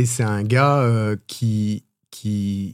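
A man speaks with fairly even intonation. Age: 40s. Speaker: app entrepreneur. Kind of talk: interview. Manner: halting.

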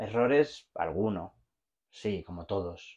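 A man speaks in a Barcelona accent against a quiet background. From Spain, Barcelona. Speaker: logistics executive and entrepreneur. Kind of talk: casual interview chat.

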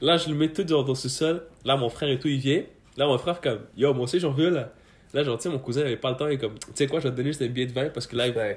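Talking at a very fast pace, a man with a fairly high pitch sounds somewhat breathy, with ordinary pitch variation. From Afghanistan, raised in Quebec from about age 10. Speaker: student, podcast guest. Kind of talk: casual chat.

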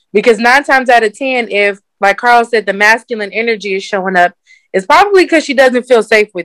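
Recorded dry and close with no echo, a woman with an unremarkable speaking voice talks fairly quickly at a fairly high pitch with ordinary pitch variation. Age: 20s. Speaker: dating coach. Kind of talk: casual chat.

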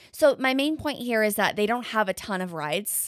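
Here is a normal speaking voice from a woman at medium pitch. The sound is dry and close, with no echo. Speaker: podcast host. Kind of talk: casual chat.

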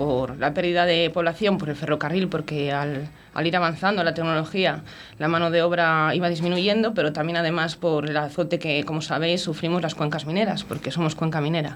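Using an unremarkable speaking voice, a woman talks at a fairly quick pace with a fairly low pitch and fairly even intonation. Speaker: mayor and provincial vice-president. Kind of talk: casual radio interview.

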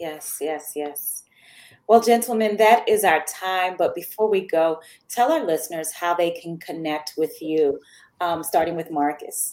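This woman has an unremarkable speaking voice, pitched fairly low. She talks at a fairly slow pace with ordinary pitch variation. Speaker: podcast host. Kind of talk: moderated panel discussion.

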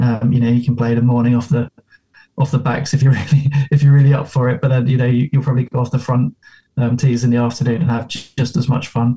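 A man with an English accent speaks at a very fast pace in a dark, mellow, somewhat breathy voice. His intonation is monotone and flat, and his loudness stays very even. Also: medium pitch for a man. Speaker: golf club member and guest. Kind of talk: casual chat. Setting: video call.

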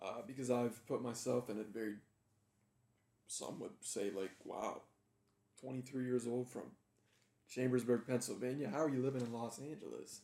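This man talks at a moderate pace with a medium pitch. He leaves long, frequent pauses. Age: 20s. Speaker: podcast host. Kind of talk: casual interview. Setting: in guest's home. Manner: animated.

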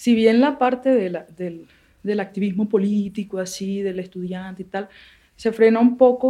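This woman has a medium pitch and fairly even intonation. She talks at a moderate pace. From Barranquilla, Colombian Caribbean coast. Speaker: former guerrilla combatant, theatre maker. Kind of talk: interview testimony. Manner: halting, with repetitions.

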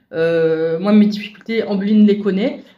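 A woman's dark, mellow voice sits at medium pitch with ordinary pitch variation. She speaks at a moderate pace amid audible room echo. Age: 40s. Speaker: visual impairment awareness facilitator. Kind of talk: interview.

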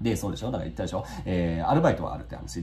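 Very fast male speech amid noticeable background noise and audible room echo. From Kanagawa, Yokohama (Totsuka). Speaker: YouTuber and rural relocation blogger. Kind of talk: casual monologue. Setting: home office. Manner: frequent filler hesitations.

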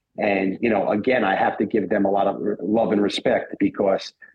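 This man talks at a fairly quick pace, his intonation fairly even and his voice carrying a slightly husky edge.

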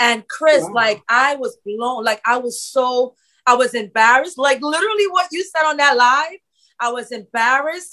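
A woman's raised, projected voice, high-pitched with a bright, sharp tone, lively intonation and a moderate pace. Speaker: podcast host. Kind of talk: interview, casual conversation.

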